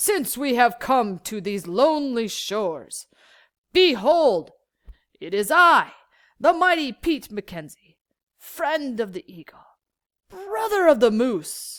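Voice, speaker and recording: Putting on a character voice, a woman speaks high and raspy at a fairly slow pace, with long, frequent pauses, big swings in loudness and very wide pitch swings. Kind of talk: archaic, stagey. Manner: pompous, declamatory.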